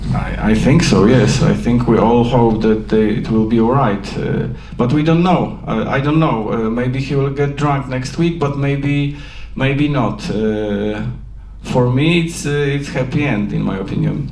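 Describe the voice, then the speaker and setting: A man with a Polish accent talks at a fairly slow pace, at a medium pitch with ordinary pitch variation. There is noticeable background noise and audible room echo. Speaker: film director. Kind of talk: post-screening Q&A. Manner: halting.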